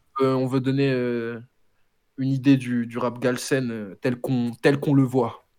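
A man with a dark, mellow tone and medium pitch speaks at a fairly slow pace, monotone and flat, with long, frequent pauses. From France, Senegalese family. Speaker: rapper. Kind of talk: casual interview. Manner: halting.

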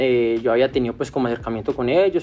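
A man speaks at medium pitch. He has an unremarkable speaking voice. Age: 30s. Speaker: sneaker restoration entrepreneur. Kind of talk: interview.

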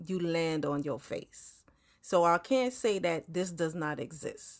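The speech moves very slowly. The recording is very clean, with a silent background. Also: woman. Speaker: podcast host, respiratory therapist. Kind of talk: casual solo talk. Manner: halting, many fillers and repeats.

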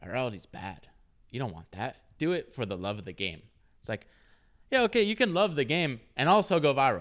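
A man with a medium pitch and vocal fry talks at a fairly quick pace, his pitch swinging very widely. Long, frequent pauses break up the speech in a very clean recording with a silent background. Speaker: startup founder and co-host. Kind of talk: casual chat about business. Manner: rambling, profane, self-deprecating.

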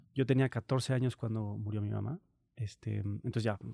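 A man's somewhat breathy voice carries a dark, mellow tone at a fairly low pitch with fairly even intonation, in a dry, close sound with no echo. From central Mexico (Morelia, León, Guanajuato). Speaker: traveler and performing artist. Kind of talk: interview. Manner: halting.

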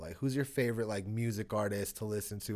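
On a very clean recording with a silent background, a man with a normal speaking voice talks at a fairly quick pace in a medium pitch with ordinary pitch variation. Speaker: podcast host. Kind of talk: casual chat with friends. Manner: laid-back, upbeat.

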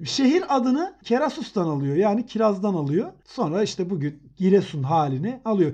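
With a dark, mellow tone and a high pitch, a man moves at a moderate pace through very wide pitch swings, with hardly any pauses. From Elbistan, Kahramanmaraş, Turkey. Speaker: etymology podcast co-host. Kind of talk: casual educational chat.

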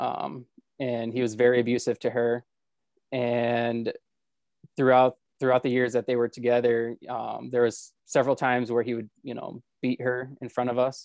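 A man's medium-pitched, flat monotone in a dry, close sound with no echo. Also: moderate pace. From Florida. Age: 20s. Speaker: assembly line worker. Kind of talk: interview testimony.

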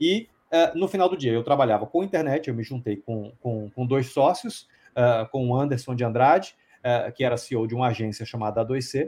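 At a moderate pace, a man with a plain, everyday voice speaks at medium pitch with lively intonation. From Brazil, Bahia (Salvador). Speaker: publishing company founder. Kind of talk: interview.

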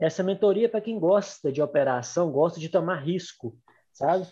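A man's high-pitched voice with a dark, mellow tone, a moderate pace and ordinary pitch variation. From Minas Gerais interior, Brazil. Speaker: podcast co-host and investment mentor. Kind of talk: casual chat.

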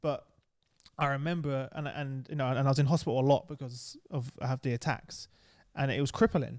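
In an East London accent, the speaker keeps a fairly even intonation on a very clean recording with a silent background. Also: man, fairly high pitch for a man, fairly quick pace. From East London, England. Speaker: podcast host. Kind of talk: casual interview.

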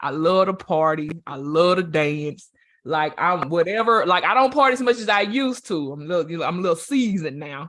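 A man with a Southern US accent, high-pitched, animated in tone, with lively intonation. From Louisiana. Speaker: interviewer. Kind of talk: casual interview.

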